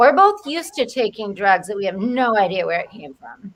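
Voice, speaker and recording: A woman with a Rhode Island accent, a bright, sharp tone and very wide pitch swings. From Rhode Island, US. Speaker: comedian. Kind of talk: casual chat.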